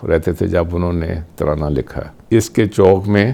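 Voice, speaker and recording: A man speaks in a dark, mellow tone. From Pakistan. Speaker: businessman. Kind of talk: interview answer.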